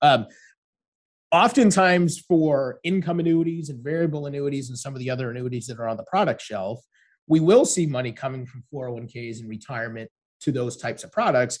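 Enthusiastic and somewhat breathy, a man speaks at a fairly quick pace and fairly high pitch, with ordinary pitch variation and big swings in loudness. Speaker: financial advisor. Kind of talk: podcast interview.

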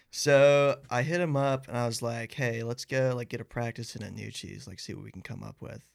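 With an American accent, a man talks at a fairly quick pace and a medium pitch, in an unremarkable speaking voice. His loudness swings widely. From Athens, Georgia, US. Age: 20s. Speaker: band singer and guitarist. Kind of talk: casual interview chat.

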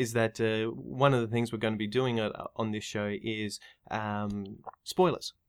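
A man with an Australian accent, medium in pitch, fairly slow, with ordinary pitch variation. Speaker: clinical psychologist and podcaster. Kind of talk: casual discussion. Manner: halting.

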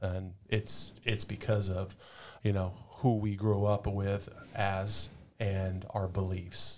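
This man has a fairly low pitch and a somewhat breathy voice. He talks with an American accent. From Southern California, Orange County. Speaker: firefighter and police officer. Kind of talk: podcast interview.

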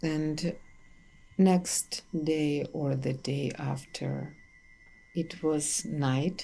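With a Russian accent, a woman speaks at a very slow pace in a very deep, low pitch and a dark, mellow tone, her intonation fairly even and broken by long, frequent pauses. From Ukraine, Kyiv. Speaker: archivist. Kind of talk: interview testimony.

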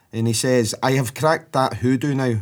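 With a Scottish accent, a man talks at a moderate pace and a medium pitch. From Scotland. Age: 40s. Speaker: podcast host. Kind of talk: casual chat.

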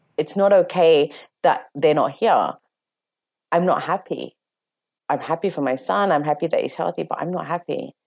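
Very clean and silent in the background, this recording features a woman with a fairly low pitch. She speaks at a moderate pace with ordinary pitch variation and long, frequent pauses. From London, England. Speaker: interview guest sharing personal story. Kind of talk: emotional personal testimony.

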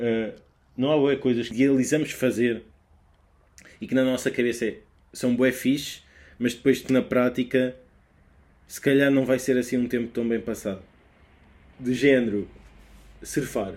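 In a European Portuguese accent, a man speaks at medium pitch with monotone, flat intonation, at a fairly slow pace with long, frequent pauses. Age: 20s. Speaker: podcaster. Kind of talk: solo casual monologue. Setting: home bedroom. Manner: halting.

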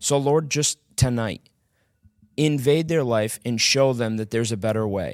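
A man with an American accent speaks at a moderate pace and medium pitch, with ordinary pitch variation, in an unremarkable speaking voice. The recording is very clean, with a silent background. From small-town US. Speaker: former drug addict sharing testimony. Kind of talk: prayer; testimony.

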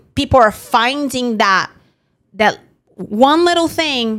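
A woman with a non-native accent, lively intonation and a fairly slow pace. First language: not English. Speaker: insurance agency founder and podcast host. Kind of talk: casual chat.

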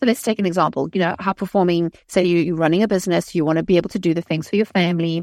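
Very fast and with very even loudness, a woman speaks at a fairly low pitch with fairly even intonation, the sound dry and close with no echo. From South Africa. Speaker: life coach and author. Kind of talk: interview.

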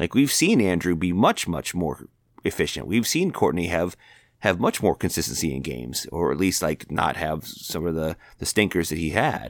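With a very deep, low pitch and vocal fry, a man talks at a moderate pace with ordinary pitch variation on a very clean recording with a silent background. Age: 40s. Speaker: sports podcast co-host. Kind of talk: casual chat. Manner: halting, repeats words.

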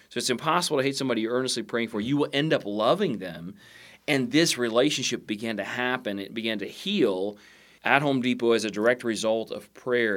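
With an ordinary speaking voice, a man talks at a fairly quick pace at a medium pitch with ordinary pitch variation, on a very clean recording with a silent background. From Southeast Indiana. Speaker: chaplain. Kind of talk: podcast interview, storytelling.

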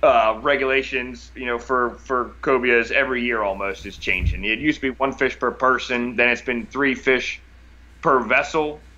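With a bright, sharp tone, a man talks at a moderate pace and medium pitch, his intonation fairly even. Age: 30s. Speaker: fishing captain. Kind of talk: casual chat. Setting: video call.

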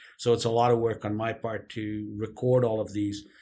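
On a very clean recording with a silent background, a man's somewhat breathy voice carries at a medium pitch and a moderate pace. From Karachi, Pakistan. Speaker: entrepreneur and podcast host. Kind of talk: interview.

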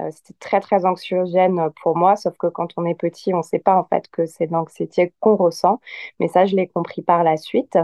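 A woman's fairly low voice, flat and monotone, at a moderate pace. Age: 30s. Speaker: yoga teacher. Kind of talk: casual chat.

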